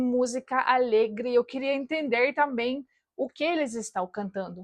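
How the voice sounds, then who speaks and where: Fairly slow speech in a Russian accent comes through with a dry, close sound with no echo and a quiet background. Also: woman. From Russian-speaking family in Soviet Latvia, then Germany. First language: Russian (speaking Portuguese). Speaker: YouTuber. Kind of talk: personal vlog.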